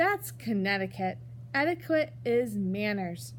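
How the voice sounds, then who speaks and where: Put-on character voice at a middle pitch, fairly slow, against clear background noise. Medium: read story.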